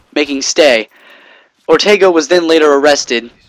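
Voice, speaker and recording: Music plays behind a man whose pitch varies in an ordinary way. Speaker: gaming commentator. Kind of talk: casual game commentary monologue. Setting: home bedroom. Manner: fast; halting, many fillers.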